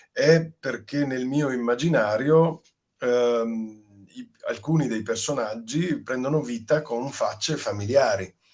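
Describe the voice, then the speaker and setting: The man's words come at a very slow pace. His intonation is fairly even. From Padua, Italy. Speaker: actor. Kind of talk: interview answer.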